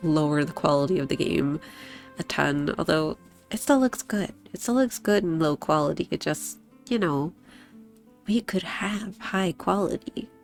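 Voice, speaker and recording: A woman talks with a fairly low pitch and lively intonation at a moderate pace. Long, frequent pauses break her speech over music in the background. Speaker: streamer. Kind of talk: casual talk to stream.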